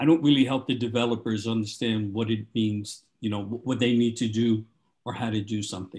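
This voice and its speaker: Somewhat breathy, a man speaks at a moderate pace and medium pitch with fairly even intonation. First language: not English. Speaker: agile coach. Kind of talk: casual chat.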